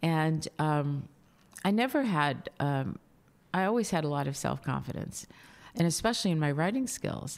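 A woman speaks at a moderate pace with a very deep, low pitch. Her pitch swings very widely, and she takes long, frequent pauses. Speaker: founder and executive chair of a communications consultancy. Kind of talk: interview. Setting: in Dubai.

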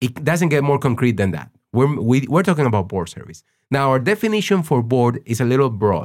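Over a silent background in a very clean recording, a man with a Spanish accent speaks fairly quickly at a medium pitch with very wide pitch swings. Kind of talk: interview conversation. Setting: studio in Los Angeles.

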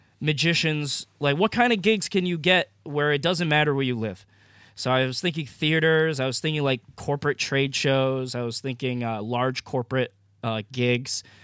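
On a very clean recording with a silent background, a man with a plain, everyday voice and an American accent talks at a moderate pace in a fairly high pitch, with ordinary pitch variation. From Maine, US. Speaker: magician and entrepreneur. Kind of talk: interview conversation.

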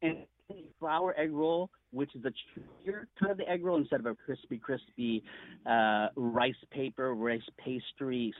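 A man with an American accent uses a normal speaking voice at medium pitch, moderate pace and lively intonation. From US, Filipino family. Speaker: actor and home cook. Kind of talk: radio interview.

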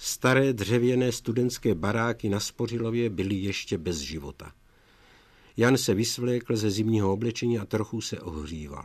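A man's fairly low-pitched voice with ordinary pitch variation, an ordinary speaking voice. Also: moderate pace. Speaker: author reading his own book. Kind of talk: reading aloud, archive recording.

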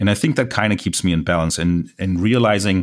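On a very clean recording with a silent background, a man with a German accent speaks at a moderate pace in a fairly low pitch, with fairly even intonation. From Germany. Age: 40s. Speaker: landscape photographer. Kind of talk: interview.

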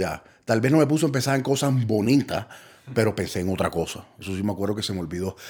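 On a very clean recording, with a silent background, a man speaks. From Colombia. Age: 30s. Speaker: recovering addict. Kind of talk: testimony. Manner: halting.

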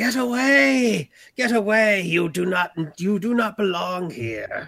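Very slowly, a man puts on a shrill, high-pitched character voice. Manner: hostile.

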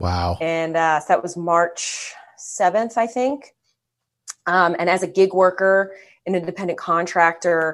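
Over a quiet background, a woman with an American accent and a normal speaking voice talks at a moderate pace, fairly low in pitch with ordinary pitch variation. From Philadelphia. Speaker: celebrity impersonator. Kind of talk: casual chat.

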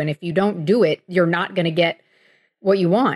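Against a quiet background, a plain, everyday voice with an American accent and ordinary pitch variation comes through with a dry, close sound with no echo. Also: woman. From South Florida (Miami). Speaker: sports writer. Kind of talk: interview conversation. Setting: remote call.

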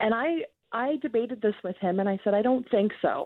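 A normal speaking voice from a woman, fairly high in pitch, with lively intonation at a moderate pace. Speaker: radio host. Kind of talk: casual banter. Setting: radio studio.

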